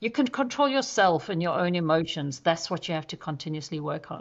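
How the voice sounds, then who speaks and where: Over a quiet background, a woman with a South African accent talks at a fairly quick pace and a fairly low pitch. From South Africa (Johannesburg, Durban). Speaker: zoo chief executive, conservationist. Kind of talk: podcast interview. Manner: direct.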